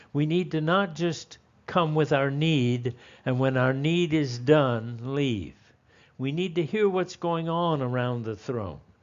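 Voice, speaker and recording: Speaking at a very slow pace, a man uses lively intonation in a fairly high pitch. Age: 70s. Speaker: Bible teacher. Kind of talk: sermon-style Bible lesson. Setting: teaching before a live group.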